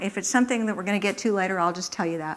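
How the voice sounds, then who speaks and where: On a very clean recording with a silent background, a woman speaks at a medium pitch with ordinary pitch variation. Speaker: economics professor giving a public talk. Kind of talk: public lecture. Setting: lecture hall with live audience. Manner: hesitant, many fillers and false starts.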